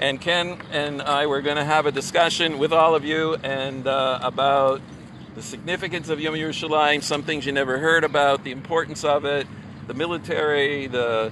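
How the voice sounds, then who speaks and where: A man's fairly high-pitched voice at a moderate pace, with fairly even intonation, a dry sound with no echo, and noticeable background noise. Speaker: rabbi and video blogger; vlog host. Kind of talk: casual walk-and-talk vlog. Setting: outdoors by a lake. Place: waterside. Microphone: phone near.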